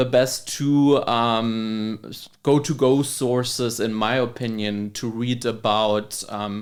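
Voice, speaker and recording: A man with a German accent and a medium pitch. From Germany. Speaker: labor economist. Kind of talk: podcast interview.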